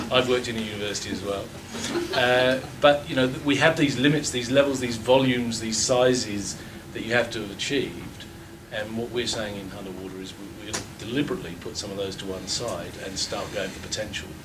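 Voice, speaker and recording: Talking at a fairly quick pace, a man uses a medium pitch with ordinary pitch variation and big swings in loudness. Noticeable background noise and audible room echo fill the recording. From England. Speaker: water utility CEO. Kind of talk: panel discussion. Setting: lecture theatre with audience. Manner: halting.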